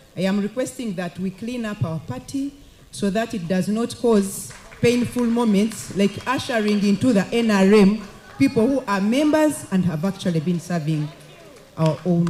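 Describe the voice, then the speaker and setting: Against noticeable background noise, a woman speaks at a moderate pace and a medium pitch, her voice swinging very widely in pitch. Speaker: elected woman MP. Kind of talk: formal address at a party meeting. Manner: formal.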